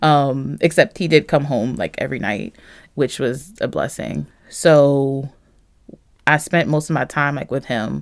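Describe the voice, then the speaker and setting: Speaking with an American accent, a woman uses a very deep, low pitch and vocal fry at a fairly slow pace. The recording is very clean, with a silent background. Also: ordinary pitch variation. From North Philadelphia. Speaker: church member. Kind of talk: interview, personal testimony.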